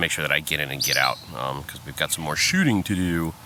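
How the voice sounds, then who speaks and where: A man with an American accent speaks in a very deep, low pitch. Noticeable background noise is present. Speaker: wedding photographer and vlogger. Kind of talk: casual vlog. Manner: soft-spoken.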